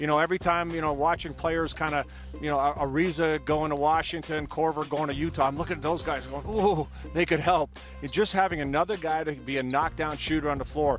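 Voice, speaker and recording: Over music in the background, a man talks at a very fast pace with an American accent. His pitch is fairly high and his intonation fairly even. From Syracuse, New York, US. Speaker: basketball analyst. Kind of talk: sports talk show analysis.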